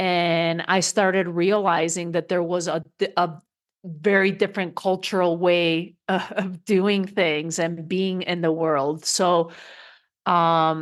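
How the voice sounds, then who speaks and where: A woman with a Spanish accent talks very slowly in a fairly low voice, her intonation flat and monotone. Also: quiet background. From Spain. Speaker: coach and speaker. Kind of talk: interview.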